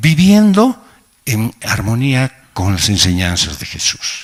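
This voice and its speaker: A man at medium pitch with very wide pitch swings. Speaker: pastor. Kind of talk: sermon. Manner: slow, sometimes halting.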